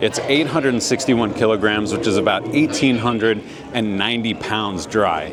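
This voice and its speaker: With an American accent, a man speaks at a medium pitch with ordinary pitch variation as music plays in the background. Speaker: car vlogger. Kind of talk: walkaround video narration. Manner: animated.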